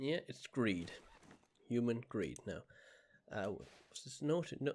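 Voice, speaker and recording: A man speaks at a fairly slow pace. His medium pitch has ordinary variation. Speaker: gaming video creator; gaming youtuber. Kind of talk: let's play gameplay commentary. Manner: animated.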